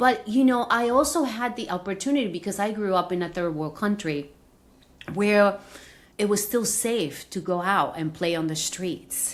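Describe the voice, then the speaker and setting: This woman speaks with a Spanish accent at a moderate pace. Her pitch is medium and her intonation lively. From Venezuela. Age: 50s. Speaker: executive coach. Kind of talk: interview conversation.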